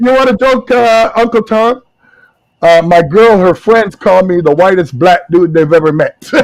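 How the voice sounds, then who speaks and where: A man speaks at a fairly slow pace with lively intonation. His loudness stays very even. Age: 50s. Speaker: participant in group chat. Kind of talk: casual chat. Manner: animated.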